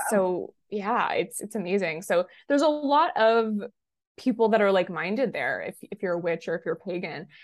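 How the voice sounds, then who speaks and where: A woman with an American accent speaks at a moderate pace and medium pitch with lively intonation. She has a plain, everyday voice. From Massachusetts, near Salem. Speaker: witch and business coach. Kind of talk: casual interview chat.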